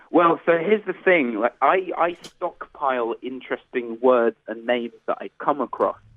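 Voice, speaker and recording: A man with an English accent, fairly high in pitch, with lively intonation at a moderate pace and hardly any pauses. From England. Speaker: electronic musician. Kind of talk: radio interview.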